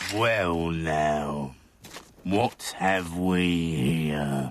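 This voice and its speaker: In a cartoonish character voice, a man speaks at a very deep, low pitch. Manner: menacing, mocking.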